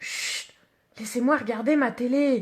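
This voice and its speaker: A woman does a put-on character voice, high-pitched and raspy, at a fairly slow pace. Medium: read story.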